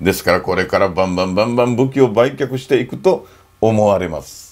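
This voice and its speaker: A man against a quiet background. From Okinawa, Japan. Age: 60s. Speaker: NGO founder and photographer; NPO founder commentator. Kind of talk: informal lecture to camera. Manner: animated. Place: home room.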